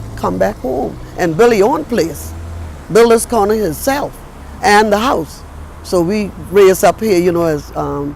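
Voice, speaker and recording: A woman with an American accent at a fairly slow pace, with long, frequent pauses and noticeable background noise. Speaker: storyteller. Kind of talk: interview answer.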